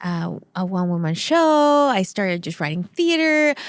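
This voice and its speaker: Recorded with a dry, close sound and no echo, a woman speaks with a Spanish accent. The recording is very clean, with a silent background. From Venezuela. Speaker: entertainment company CEO and actress. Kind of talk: podcast interview. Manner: animated.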